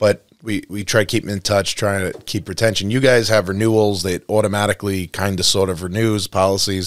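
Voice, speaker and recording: A man with an American accent, fairly low-pitched, at a fairly quick pace with monotone, flat intonation. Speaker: podcast host. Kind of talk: casual chat.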